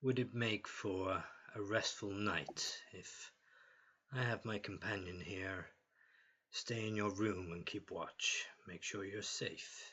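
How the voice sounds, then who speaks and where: In a raspy put-on character voice, a man speaks at a fairly low pitch, leaving long, frequent pauses. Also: fairly slow pace. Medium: actual play.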